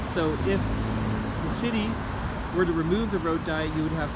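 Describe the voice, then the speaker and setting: Loud background noise over a dry sound with no echo. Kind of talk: casual vlog commentary. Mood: calm, mildly argumentative. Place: street. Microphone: phone near.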